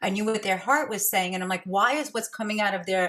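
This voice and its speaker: In a New York accent, a woman talks at a medium pitch with a bright, sharp tone. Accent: New York American. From US, Brooklyn New York. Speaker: podcast host, intuitive coach. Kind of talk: interview conversation.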